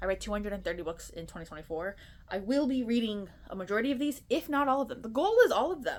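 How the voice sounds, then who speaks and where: Her pitch is fairly high and swings very widely. The woman talks at a very fast pace. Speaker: book content creator. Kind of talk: casual chat. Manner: animated.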